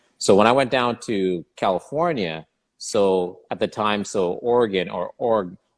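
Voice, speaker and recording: Recorded with a dry, close sound and no echo, a man talks in a plain, everyday voice, fairly low in pitch with ordinary pitch variation. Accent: Canadian. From Canada, Regina Saskatchewan. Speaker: golf podcast co-host. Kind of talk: casual chat.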